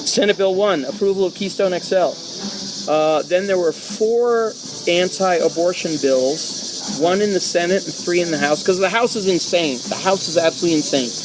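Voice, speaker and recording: A loud, high-pitched man over noticeable background noise. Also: ordinary pitch variation, moderate pace. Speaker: political talk show host. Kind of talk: casual political discussion.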